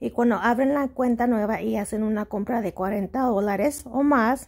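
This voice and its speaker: A woman with a fairly high pitch and a somewhat breathy voice speaks at a moderate pace with ordinary pitch variation. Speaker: YouTuber, shopping deals. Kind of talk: tutorial. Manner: halting.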